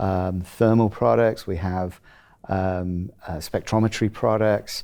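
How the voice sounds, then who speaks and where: A man's fairly low, dark, mellow voice at a fairly slow pace, with ordinary pitch variation in a very clean recording and a silent background. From England (Rugby). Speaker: chief technology officer of an instrument company. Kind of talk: interview. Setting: at a trade conference. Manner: halting with many fillers.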